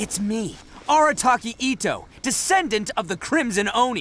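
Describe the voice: A man's put-on character voice, extremely high in pitch, with big swings and a moderate pace. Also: fairly bright tone.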